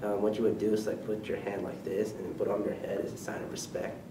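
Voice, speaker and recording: A man talks with a Filipino accent. Audible room echo surrounds his voice. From Philippines. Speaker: college student. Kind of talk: casual interview. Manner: halting, many fillers.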